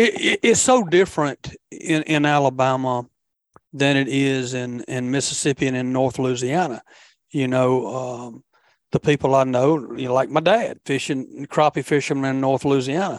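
A man at a medium pitch and moderate pace, with fairly even intonation and a dry, close sound with no echo. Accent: Southern US. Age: 50s. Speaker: fishing podcast host. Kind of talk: casual chat.

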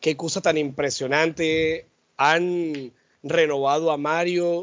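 Speaking at a very slow pace, a man keeps a fairly high pitch and fairly even intonation. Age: 40s. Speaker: podcast co-host. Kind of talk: casual chat.

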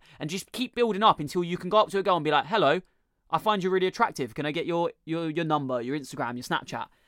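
Speaking at a very fast pace, a man with a British accent sounds animated and enthusiastic, his pitch high. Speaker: podcast host. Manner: animated, enthusiastic intro.

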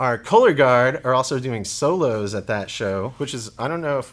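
In a very clean recording with a silent background, a man with an American accent talks at a moderate pace in a normal speaking voice, his pitch medium. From Oklahoma and Texas. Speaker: high school band director. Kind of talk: casual interview.

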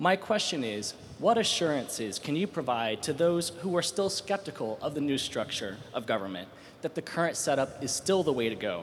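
A man's fairly high-pitched voice with vocal fry, very wide pitch swings and a moderate pace. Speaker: policy fellow, audience questioner. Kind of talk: question from audience. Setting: stage with audience.

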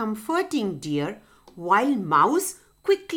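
What you hear is a natural reading voice.

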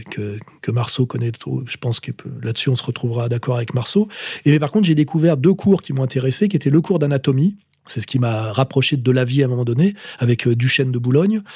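Somewhat breathy and dark, mellow in tone, the voice races along at a very fast pace with lively intonation. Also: man, medium pitch for a man. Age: 50s. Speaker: political commentator. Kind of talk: monologue answering voicemail questions. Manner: hesitant, many fillers.

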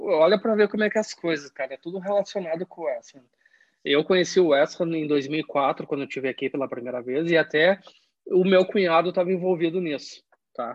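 Speech at a moderate pace with ordinary pitch variation. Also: man. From southern Brazil, Caxias do Sul (Rio Grande do Sul). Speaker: football fan. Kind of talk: casual chat.

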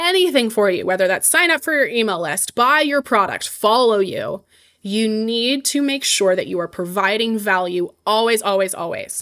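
A plain, everyday voice from a woman, with lively intonation at a moderate pace. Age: 20s. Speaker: personal finance entrepreneur. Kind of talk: interview.

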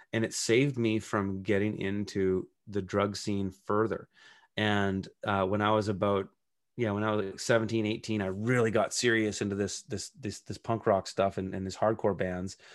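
Over a quiet background, a man with a Western Canadian accent speaks at a moderate pace in a fairly low pitch with monotone, flat intonation. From Canada, British Columbia (Kelowna). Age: 40s. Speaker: urban farmer and author. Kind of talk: casual interview chat.

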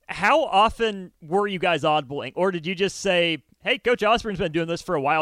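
This man talks at a fairly quick pace in a high voice with lively intonation. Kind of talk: casual sports talk radio chat.

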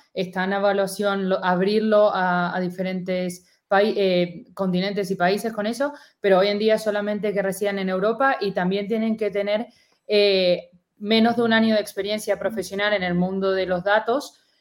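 With an Argentine accent, a woman of medium pitch talks at a moderate pace in a monotone, flat intonation. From Argentina. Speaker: university student, event organizer. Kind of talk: casual interview on a live stream.

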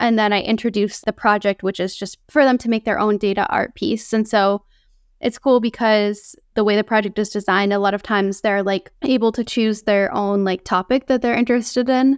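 A woman with an ordinary speaking voice and an American accent talks at a fairly high pitch with fairly even intonation, in a very clean recording with a silent background and a dry, close sound with no echo. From US Northeast, central Massachusetts. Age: 30s. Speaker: artist and science communicator. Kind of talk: interview.

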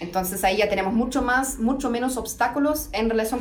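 Noticeable background noise sits behind a woman with a fairly high pitch who talks at a fairly quick pace with ordinary pitch variation. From Germany. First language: German (speaking Spanish). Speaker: legal researcher. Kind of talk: interview. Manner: halting.

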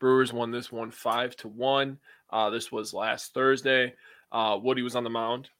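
A man with a plain, everyday voice speaks at a fairly slow pace and a medium pitch, with fairly even intonation. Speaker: sports podcast co-host. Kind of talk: casual chat.

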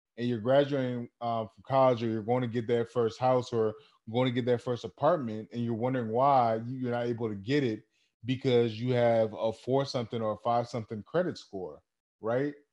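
Over a quiet background, an unremarkable speaking voice goes at a fairly quick pace, its intonation fairly even. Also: man, medium pitch for a man. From Cameroon, moved to US at six. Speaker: podcast co-host. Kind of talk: casual chat.

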